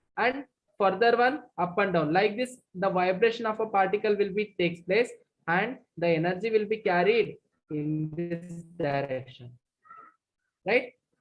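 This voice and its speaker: Over music in the background, a woman speaks at a fairly slow pace with lively intonation and long, frequent pauses. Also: medium pitch for a woman. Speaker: physics teacher. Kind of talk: online lecture. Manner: loud.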